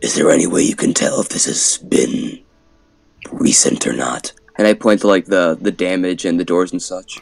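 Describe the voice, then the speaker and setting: A man puts on a character voice and keeps it at a moderate pace. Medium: actual play. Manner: commanding, clipped.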